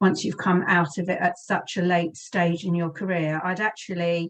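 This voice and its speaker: A woman talks with a British accent. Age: 60s. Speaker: career and lifestyle coach. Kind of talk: interview. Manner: hesitant, many fillers.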